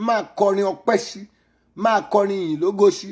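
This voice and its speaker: A man speaks in a high pitch at a fairly slow pace. The background is quiet. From Nigeria. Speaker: pastor. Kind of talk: fervent prayer. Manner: loud, pleading and commanding. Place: home room. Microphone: phone near.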